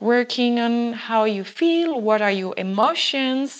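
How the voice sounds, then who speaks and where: Over a quiet background, a woman speaks very slowly in a fairly high pitch. Her pitch variation is ordinary. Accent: French. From France. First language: French. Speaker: wine business founder, wine educator. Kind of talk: casual interview.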